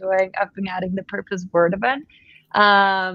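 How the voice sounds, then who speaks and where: In a Spanish accent, a woman speaks with fairly even intonation in a dry, close sound with no echo. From Colombia. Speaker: web3 education lead. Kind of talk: webcast interview.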